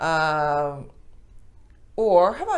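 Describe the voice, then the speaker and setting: Audible room echo follows a woman's voice as she talks. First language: Japanese. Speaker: Japanese language teacher. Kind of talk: tutorial. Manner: casual, halting with fillers.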